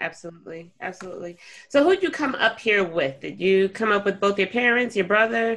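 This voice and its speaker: A woman with an American accent has a normal speaking voice at medium pitch. She talks at a fairly quick pace with lively intonation. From US, New York, Jamaican family. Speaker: podcast host. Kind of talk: interview conversation.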